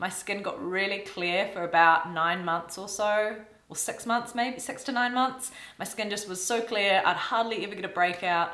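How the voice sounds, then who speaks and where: The room's echo can be heard as a woman speaks at a moderate speed. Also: medium pitch for a woman, ordinary pitch variation. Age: 30s. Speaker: YouTuber and classical violinist; skincare vlogger. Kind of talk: casual vlog talk to camera. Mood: warm, chatty. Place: home room.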